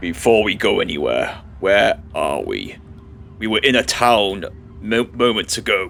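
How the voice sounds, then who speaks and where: A man uses a put-on character voice at a moderate pace. Clear background noise can be heard. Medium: actual play.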